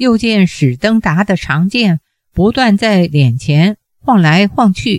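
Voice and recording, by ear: Reading aloud in a natural voice, the speaker is heard over a quiet background.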